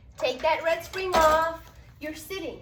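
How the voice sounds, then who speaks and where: The woman's fairly slow speech comes with audible room echo and noticeable background noise. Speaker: pilates instructor. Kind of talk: instructor training tutorial.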